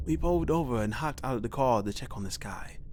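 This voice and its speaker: Over music in the background, a man talks in a calm tone with very wide pitch swings. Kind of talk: horror story narration read aloud. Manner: calm, reassuring.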